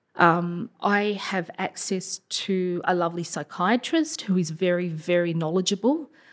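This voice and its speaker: A woman speaks with an Australian accent, her pitch fairly low and her pitch variation ordinary. She talks at a fairly slow pace on a very clean recording with a silent background. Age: 40s. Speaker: primary school teacher. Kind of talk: personal testimony interview. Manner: hesitant, many fillers.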